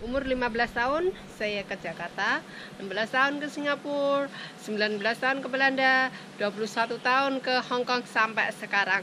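A woman with a high voice talks fairly slowly, her pitch shifting in an ordinary way, while noticeable background noise plays behind her. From Indonesia, village background. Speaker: vlogger, former migrant domestic worker. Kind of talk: personal storytelling vlog. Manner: halting. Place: open country. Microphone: phone near.

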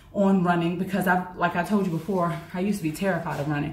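Audible room echo carries a woman's medium-pitched voice with an American accent as she speaks at a fairly quick pace with fairly even intonation. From United States. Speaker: university lecturer and fitness vlogger; university lecturer, fitness vlogger. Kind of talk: casual vlog monologue. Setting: outdoors. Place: home room. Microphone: camera far.

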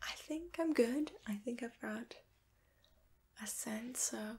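A soft-spoken woman with a gentle tone. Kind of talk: soft-spoken roleplay talk to viewer. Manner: soft, gentle ASMR murmur. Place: home room. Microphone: phone near.

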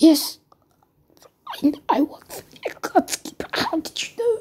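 The pitch is extremely high in this put-on character voice. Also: moderate pace. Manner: shocked, strained.

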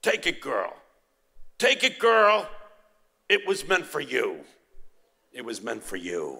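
A man does a put-on character voice in an Italian accent, raised and projected. He talks at a fairly slow pace with long, frequent pauses.

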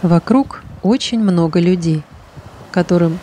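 With noticeable background noise behind her, a woman with a fairly low pitch speaks very slowly in a calm, soothing tone with ordinary pitch variation. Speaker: hypnologist. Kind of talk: guided meditation.

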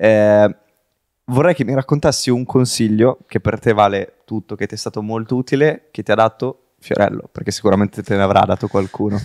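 Dry and close with no echo, the recording captures a man with an ordinary speaking voice speaking at a fairly quick pace, his fairly low pitch showing ordinary variation. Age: 20s. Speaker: podcast host. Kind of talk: casual interview.

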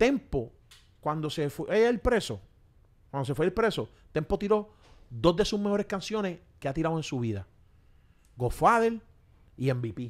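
Heard on a very clean recording with a silent background, a high-pitched man speaks at a moderate pace, with very wide pitch swings and long, frequent pauses. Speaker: podcast host. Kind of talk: casual interview. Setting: on location in Miami.

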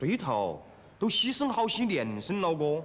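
A man is speaking at a moderate pace. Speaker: sitcom actor playing a country man. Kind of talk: TV comedy drama dialogue. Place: street.

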